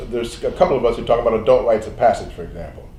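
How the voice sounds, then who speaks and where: A man talks at a very fast pace with audible room echo. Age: 70s. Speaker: medical doctor. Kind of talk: interview. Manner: halting.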